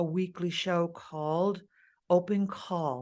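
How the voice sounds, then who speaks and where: A woman's plain, everyday voice with an American accent and fairly even intonation, over a quiet background. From East Los Angeles. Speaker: opera singer; TV and radio host. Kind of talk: interview answer.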